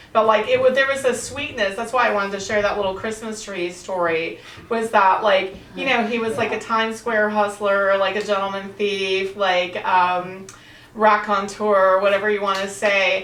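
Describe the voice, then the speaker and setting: A woman at medium pitch and moderate pace, with fairly even intonation, audible room echo and noticeable background noise. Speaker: author and interviewer of women writers. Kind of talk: panel discussion. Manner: loud.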